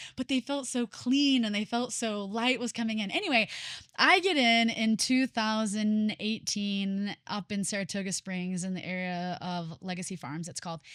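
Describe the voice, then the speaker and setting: A woman speaks in a plain, everyday voice with a fairly high pitch and ordinary pitch variation at a moderate pace. The very clean recording has a silent background and a dry, close sound with no echo. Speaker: podcast host. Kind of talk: casual chat.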